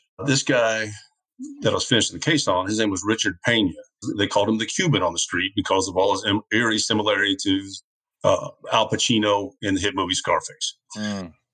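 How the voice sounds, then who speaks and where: With a Southern US accent, a man of fairly low pitch speaks at a fairly quick pace in a bright, sharp tone with fairly even intonation. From US South, Georgia. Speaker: retired DEA agent. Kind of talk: casual interview storytelling.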